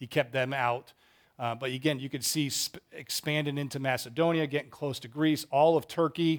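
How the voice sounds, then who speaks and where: Speaking at a moderate pace with fairly even intonation, a man with an American accent has a fairly high pitch and an unremarkable speaking voice. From Massachusetts, US. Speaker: Bible class teacher and school head. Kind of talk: Bible study lecture.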